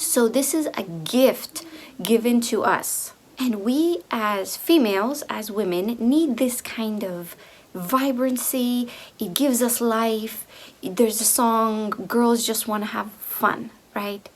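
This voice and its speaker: Very slow speech from a woman with a fairly high pitch, over noticeable background noise. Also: ordinary pitch variation. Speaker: video creator on femininity. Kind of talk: monologue to camera. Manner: hesitant, repeating words.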